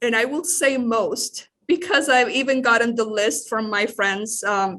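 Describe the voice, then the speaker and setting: Speaking with a Spanish accent at a fairly slow pace, the voice has a bright, sharp tone and lively intonation. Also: woman, fairly high pitch for a woman. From Nicaragua, Managua. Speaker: church staff member, legal immigrant. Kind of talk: interview. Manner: halting.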